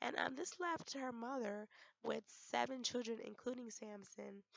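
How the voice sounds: A woman speaks at a fairly slow pace in a fairly high voice, with vocal fry and ordinary pitch variation.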